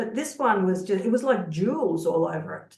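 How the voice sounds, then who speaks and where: Here a woman talks in a medium pitch. Her pace is moderate. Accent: Australian. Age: 60s. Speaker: social work researcher, peer support group host. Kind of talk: casual chat. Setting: video call.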